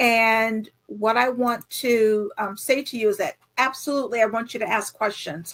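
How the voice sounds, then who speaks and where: A woman speaks in an unremarkable speaking voice, pitched fairly high. Her intonation stays fairly even at a moderate pace, with hardly any pauses. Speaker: grant writing consultant. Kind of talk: webinar presentation. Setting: online webinar.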